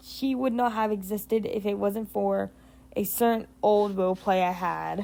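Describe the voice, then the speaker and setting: With fairly even intonation, a woman talks in a dark, mellow tone. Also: medium pitch for a woman, moderate pace. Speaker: hobby animator and artist. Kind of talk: casual talk to camera. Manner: hesitant, with pauses and stutters.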